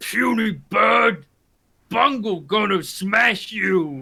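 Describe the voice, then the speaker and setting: In a put-on character voice, a man shouts very slowly with a raspy, high-pitched sound. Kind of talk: crude, speaks of himself in third person. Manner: yelling, aggressive.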